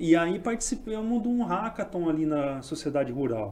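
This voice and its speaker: Pitch swings very widely in this fairly slow delivery with a dark, mellow tone. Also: man. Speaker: tech startup founder. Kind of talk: casual chat.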